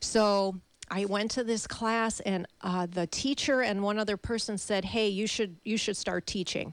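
A woman talks at a fairly slow pace in an ordinary speaking voice with fairly even intonation. It's a very clean recording with a silent background. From Chicago. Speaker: fitness instructor. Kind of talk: casual chat. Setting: studio.

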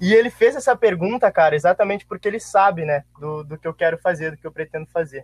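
A man with a high pitch rushes along at a very fast pace with hardly any pauses, ordinary pitch variation and big swings in loudness, in a dry, close sound with no echo. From Santa Maria, Rio Grande do Sul, Brazil. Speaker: former student athlete. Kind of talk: casual chat.

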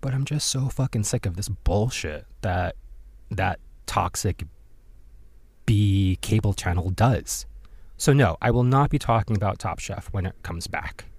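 This very clean recording has a silent background and a man with a fairly low, somewhat breathy voice. He speaks at a fairly slow pace with ordinary pitch variation and long, frequent pauses. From born in Korea, raised overseas. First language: Korean. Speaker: podcast host. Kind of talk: casual solo commentary.

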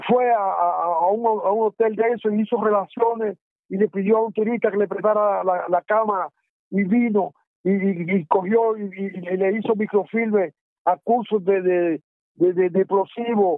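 A man speaks at a high pitch. His intonation stays fairly even. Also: moderate pace. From Dominican Republic. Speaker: former guerrilla fighter. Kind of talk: oral history interview. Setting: phone call. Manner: halting.

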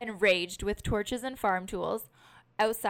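With ordinary variation in pitch, the voice reads in an unforced manner.

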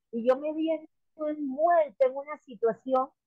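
The sound is dry and close, without echo. A woman talks fairly slowly. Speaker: political candidate. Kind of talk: interview.

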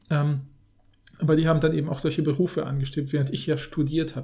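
A man talks at a very fast pace at a fairly high pitch, somewhat breathy, with a dark, mellow tone and monotone, flat intonation. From Germany, Polish family background. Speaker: linguist, podcast co-host. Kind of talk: casual chat.

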